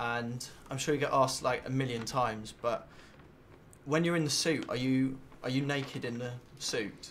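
In a southern English accent, the speaker moves at a moderate pace with fairly even intonation and long, frequent pauses over light background noise. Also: man. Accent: English (southern, Watford area). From England. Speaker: radio presenter / interviewer. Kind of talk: celebrity interview, casual. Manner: halting, hesitant. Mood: cheeky, slightly awkward. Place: hall. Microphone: handheld.

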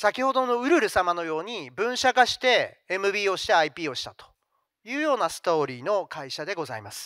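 A man with a high voice and a bright, sharp tone talks at a moderate pace, swinging very widely in pitch and greatly in loudness, in a dry sound with no echo and a quiet background. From Japan, Fukuoka; Japan. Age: 50s. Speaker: company CEO; presenter. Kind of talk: investor presentation. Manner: formal. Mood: polite, formal business tone. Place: hall. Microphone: handheld.

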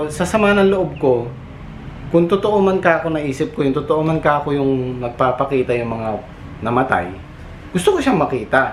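Noticeable background noise runs under speech delivered at a moderate pace with lively intonation. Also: man, fairly high pitch for a man. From Philippines. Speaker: vlogger and overseas factory worker. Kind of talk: casual vlog storytelling. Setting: outdoors at a factory compound.

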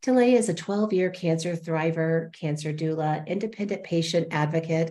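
A woman speaks at a fairly low pitch with a dark, mellow tone. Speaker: show host. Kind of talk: host introduction. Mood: warm, upbeat. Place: home room. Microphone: earbuds.

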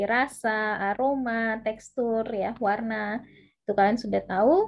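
A woman speaks at a fairly slow pace. Her fairly high voice stays monotone and flat. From West Sumatra, Indonesia; Indonesia. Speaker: university lecturer. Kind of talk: online lecture. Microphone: video call.

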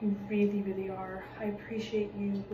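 The intonation stays monotone and flat. There is noticeable background noise. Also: woman. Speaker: college student. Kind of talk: recorded tribute message. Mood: warm, grateful, emotional. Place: home room. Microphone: phone near.

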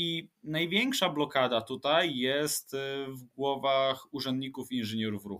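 His pitch rises and falls in an ordinary way. The man delivers his words at a very slow pace. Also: medium pitch for a man. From Łódź, Poland. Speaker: urban planner and transport expert. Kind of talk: interview, expert explanation.

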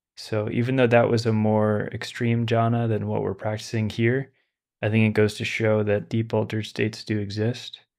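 Against a quiet background, a man speaks in a flat monotone at a fairly low pitch. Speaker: meditation teacher. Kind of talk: lecture then guided meditation. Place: home room. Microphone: studio mic.

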